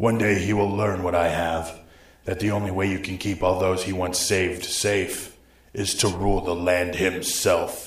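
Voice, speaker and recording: In a put-on character voice, a man speaks at a moderate pace in a raspy, very deep, low pitch with monotone, flat intonation and a slight echo. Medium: audio drama. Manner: imperious.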